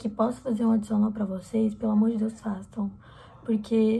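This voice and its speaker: A woman's intonation stays monotone and flat as she talks at a moderate pace. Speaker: exchange student vlogger. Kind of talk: casual vlog chat. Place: home room. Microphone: phone near.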